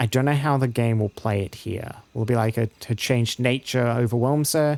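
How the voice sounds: Reading in a natural voice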